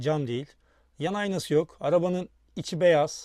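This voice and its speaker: A man's dark, mellow voice with ordinary pitch variation, on a very clean recording against a silent background. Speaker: YouTuber, toy car collector. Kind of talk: unboxing review video. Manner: animated.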